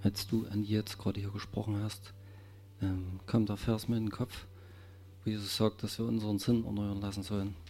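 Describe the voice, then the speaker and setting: A man's fairly low, monotone, flat voice at a moderate pace, broken by long, frequent pauses. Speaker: congregation member praying. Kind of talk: fervent prayer. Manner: fervent, emotional, repeating 'Herr' with laughs.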